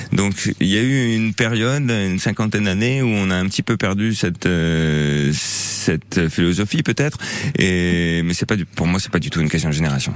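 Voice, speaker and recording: Lively intonation runs through a man's very deep, low voice. His loudness stays very even over noticeable background noise. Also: moderate pace. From Normandy, rural. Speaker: permaculture gardener. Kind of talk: radio interview. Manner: halting, many hesitations.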